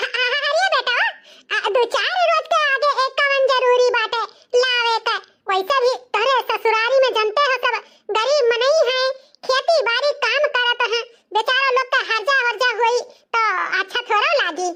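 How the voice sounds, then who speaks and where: A woman does a squeaky, cartoonish character voice at an extremely high pitch, with ordinary pitch variation and very even loudness. She goes at a fairly slow pace with long, frequent pauses. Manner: scornful.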